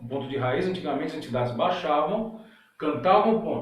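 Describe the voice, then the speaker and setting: Ordinary pitch variation with audible room echo. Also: man. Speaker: umbanda spiritual leader answering questions. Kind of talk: live Q&A stream reading chat questions. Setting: online live stream. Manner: hesitant, many fillers.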